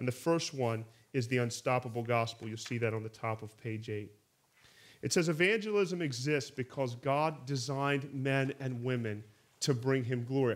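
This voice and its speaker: His pace is moderate. A man speaks with ordinary pitch variation. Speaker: teacher of a church training course. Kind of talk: lecture. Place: hall.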